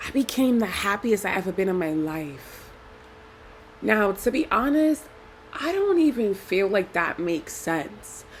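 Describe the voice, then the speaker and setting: Over noticeable background noise, a woman at a medium pitch talks at a fairly slow pace with very wide pitch swings. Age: 30s. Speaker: video blogger. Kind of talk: casual vlog talk. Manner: rambling, self-correcting.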